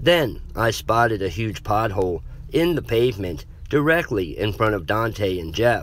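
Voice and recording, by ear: A passage is read aloud in a natural voice.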